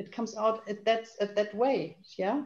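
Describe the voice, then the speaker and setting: With a German accent, a woman speaks at a fairly slow pace. Her tone is dark and mellow. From Germany. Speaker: naturopath and healer. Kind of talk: panel discussion. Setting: video call. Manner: halting, searching for words.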